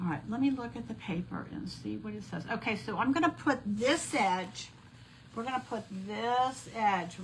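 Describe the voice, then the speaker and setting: A woman speaks with lively intonation in a somewhat breathy voice. Audible room echo is present. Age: 60s. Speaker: crafting instructor, former math teacher. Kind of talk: live craft tutorial. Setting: live stream event. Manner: casual, chatty.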